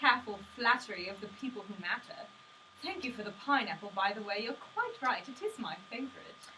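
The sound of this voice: The speaker reads in an unforced voice.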